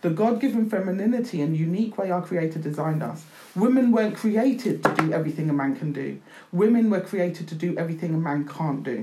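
Over noticeable background noise, a woman speaks very fast with lively intonation. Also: fairly low pitch for a woman. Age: 50s. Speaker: author. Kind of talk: casual chat.

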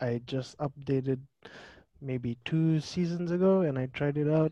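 A man talks at a fairly slow pace with long, frequent pauses, a dark, mellow tone and ordinary pitch variation. The sound is dry and close with no echo. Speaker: gamer. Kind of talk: casual chat.

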